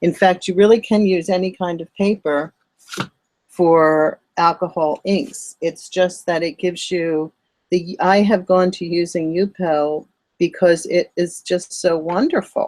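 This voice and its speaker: A woman's fairly low voice with an American accent, at a fairly slow pace, in a dry, close sound with no echo. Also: fairly even intonation. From Philadelphia, US. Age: 60s. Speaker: artist teaching art online. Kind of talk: live-streamed art tutorial. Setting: live stream. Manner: casual, chatty with filler words.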